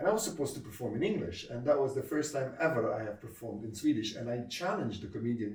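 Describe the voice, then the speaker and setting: In an Arabic accent, a man talks at a very fast pace and medium pitch, with audible room echo. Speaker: comedy club founder and comedian. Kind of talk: interview. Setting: sit-down interview. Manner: hesitant, with frequent fillers.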